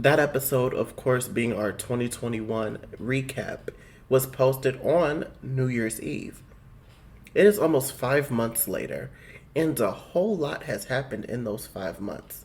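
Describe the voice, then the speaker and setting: Vocal fry runs through this man's speech. His medium pitch moves with ordinary variation. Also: fairly slow pace. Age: 20s. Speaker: podcast co-host. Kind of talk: casual chat.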